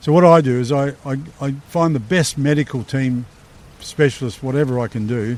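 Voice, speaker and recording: Delivery moves at a moderate pace. Pitch variation is ordinary. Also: man, medium pitch for a man. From South Australia, Leigh Creek. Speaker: war veteran. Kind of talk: interview, casual life story. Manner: halting, many repeated words.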